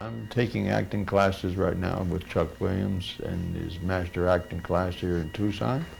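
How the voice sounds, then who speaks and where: Someone with an American accent talks at a fairly slow pace. Music plays in the background, and the room echo is audible. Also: man. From US Midwest, central Ohio. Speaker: actor, war veteran. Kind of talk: documentary interview.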